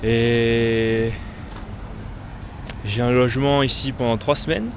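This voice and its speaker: At a very slow pace, a man speaks in a medium pitch with monotone, flat intonation. Noticeable background noise and audible room echo fill the recording. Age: 20s. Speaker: travel vlogger. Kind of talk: vlog. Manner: hesitant, many fillers.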